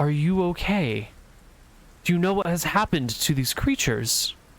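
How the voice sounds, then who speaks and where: In a put-on character voice, a man speaks with a high pitch at a moderate pace. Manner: gentle.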